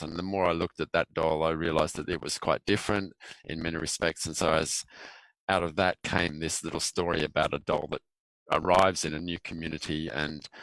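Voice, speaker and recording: The man's very deep, low voice comes at a fairly quick pace with fairly even intonation, the sound dry and close with no echo. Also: very clean recording, silent background. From Australia. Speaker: filmmaker. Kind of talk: interview.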